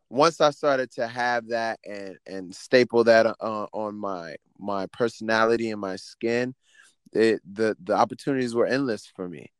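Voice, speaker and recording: A man with an unremarkable speaking voice talks at a fairly slow pace in a medium pitch, with fairly even intonation and big swings in loudness, in a dry, close sound with no echo. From Miami, Florida. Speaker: choreographer and dance teacher. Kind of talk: casual interview chat.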